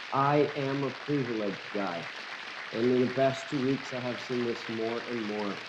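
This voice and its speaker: Noticeable background noise sits behind a man speaking at a moderate pace. His medium-pitched voice has fairly even intonation. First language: Portuguese. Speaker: YouTube host. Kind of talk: interviewer, casual talk.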